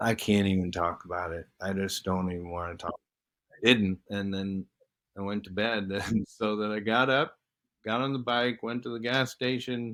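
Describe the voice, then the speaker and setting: A man's fairly low voice, an unremarkable speaking voice, with ordinary pitch variation and a moderate pace. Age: 60s. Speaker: retired professional athlete, podcast guest. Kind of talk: casual chat.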